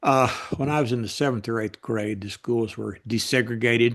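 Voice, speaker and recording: The speaker has a Kentucky accent and fairly even intonation. The background is quiet. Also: man. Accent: Southern US (Kentucky). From US South, Western Kentucky. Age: 70s. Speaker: political writer. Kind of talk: interview.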